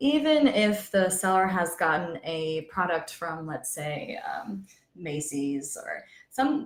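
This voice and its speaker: A woman speaks softly, her pitch sitting fairly low for a woman. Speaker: paralegal. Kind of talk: panel discussion. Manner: soft-spoken.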